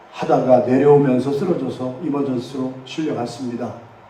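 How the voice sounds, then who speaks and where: Against noticeable background noise and audible room echo, a man talks in a fairly high pitch. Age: 70s. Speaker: pastor. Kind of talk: sermon.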